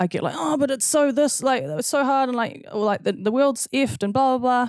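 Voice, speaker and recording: On a very clean recording with a silent background, a woman speaks loudly at a high pitch with lively intonation. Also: fairly quick pace. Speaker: podcast co-host. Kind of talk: casual chat.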